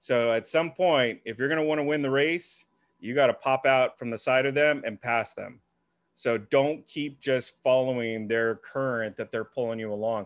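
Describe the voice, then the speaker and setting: At a moderate pace, a man speaks in an ordinary speaking voice, medium in pitch with ordinary pitch variation. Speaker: podcast interviewer and marketer. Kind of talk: casual interview chat.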